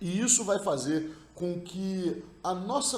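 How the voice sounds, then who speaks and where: A man with a high pitch and ordinary pitch variation speaks over noticeable background noise, with audible room echo. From Rio de Janeiro, Brazil. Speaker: NLP practitioner. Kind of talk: recorded talk / study summary.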